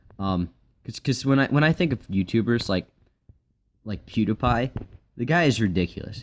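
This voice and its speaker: Pitched fairly low, a man speaks with very wide pitch swings. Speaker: gaming YouTuber. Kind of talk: gameplay commentary. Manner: halting.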